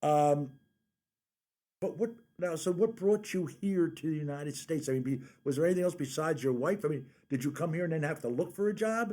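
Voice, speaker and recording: With an American accent and a dark, mellow tone, a man at a fairly high pitch talks at a fairly quick pace with ordinary pitch variation and long, frequent pauses, in a very clean recording with a silent background. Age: 60s. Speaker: radio host. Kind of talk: radio interview.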